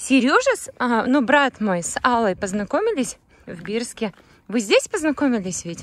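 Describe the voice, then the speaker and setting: Her high voice moves at a moderate pace with lively intonation and big swings in loudness. The woman's recording is dry, with no echo. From Bashkortostan, Russia (Mishkino district); Bashkortostan, Russia. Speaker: vlogger. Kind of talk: travel vlog narration. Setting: in a car. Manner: animated. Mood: delighted, admiring. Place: open country. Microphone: phone near.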